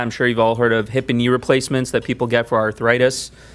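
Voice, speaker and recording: A man with a Mid-Atlantic US accent speaks at a medium pitch. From US, Maryland (Montgomery County). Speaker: orthopedic surgeon. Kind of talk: talk to community audience.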